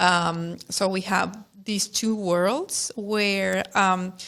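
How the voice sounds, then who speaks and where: A woman with a non-native accent speaks with ordinary pitch variation. The recording is very clean, with a silent background. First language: not English. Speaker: instructional technology staff. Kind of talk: casual podcast conversation. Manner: halting, many fillers.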